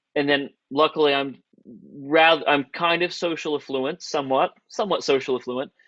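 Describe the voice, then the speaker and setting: Moderate-paced speech from a man with an American accent, fairly high in pitch, with fairly even intonation and a quiet background. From Southern Ohio. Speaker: videographer and director. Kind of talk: networking Q&A.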